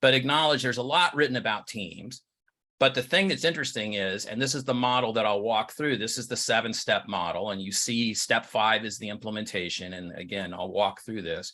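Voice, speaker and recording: The voice has a bright, sharp tone and ordinary pitch variation at a fairly quick pace. The background is quiet. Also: man, medium pitch for a man. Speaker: leadership coach and team trainer. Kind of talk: webinar presentation.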